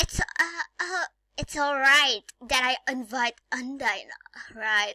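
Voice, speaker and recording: This woman puts on a character voice with a high pitch. She talks at a very slow pace. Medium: fan dub. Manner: hesitant, stammering.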